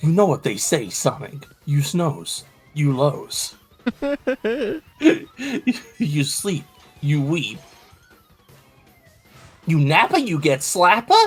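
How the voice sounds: A man puts on a gruff character voice at a fairly high pitch and a very slow pace. Faint music plays in the background.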